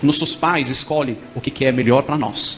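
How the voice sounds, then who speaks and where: A man speaks in a raised, projected voice at a moderate pace over noticeable background noise. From Morocco. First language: Arabic (speaking Portuguese). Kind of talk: testimony.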